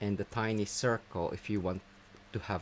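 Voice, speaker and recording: Very deep, low male voice with vocal fry and ordinary pitch variation. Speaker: craft tutorial host. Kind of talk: tutorial. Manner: tends to mumble when looking down.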